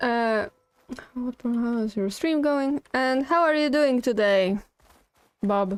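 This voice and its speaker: A woman with a Polish accent speaks at a very slow pace in a high voice, leaving long, frequent pauses. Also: ordinary pitch variation. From Poland. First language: not English. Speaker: video game streamer. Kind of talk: live gameplay stream chat. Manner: casual, chatty.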